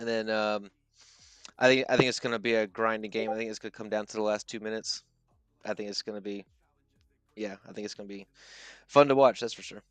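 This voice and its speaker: A man talks at a very fast pace in a flat monotone, broken by long, frequent pauses and big swings in loudness. Music plays in the background of a dry, close recording with no echo. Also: fairly low pitch for a man. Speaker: livestream co-host. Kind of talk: casual chat. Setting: online livestream. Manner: halting.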